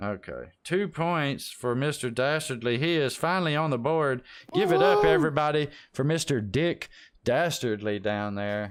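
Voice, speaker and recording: With a plain, everyday voice, the speaker keeps a moderate pace and lively intonation. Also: man, fairly high pitch for a man. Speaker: game show host in a roleplay server. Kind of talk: trivia game show host. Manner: casual, joking, profane.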